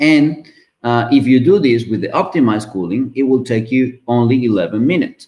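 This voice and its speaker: The man speaks with a Spanish accent. His tone is dark and mellow, with ordinary pitch variation. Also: medium pitch for a man, moderate pace. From Venezuela. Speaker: mechanical engineer. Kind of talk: interview. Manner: hesitant, many fillers.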